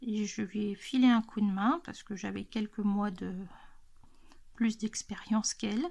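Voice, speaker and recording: A woman speaks at a medium pitch with ordinary pitch variation. Her voice is somewhat breathy and her pace fairly slow. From central France, Loiret. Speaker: YouTuber, adult coloring channel. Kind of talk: casual chat, Q&A tag video. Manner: hesitant, many fillers.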